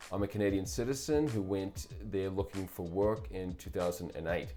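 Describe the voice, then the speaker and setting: Music plays behind a man with a New Zealand accent and a fairly low pitch. He talks at a fairly quick pace with lively intonation. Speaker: publisher and political commentator. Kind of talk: scripted commentary monologue. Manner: formal.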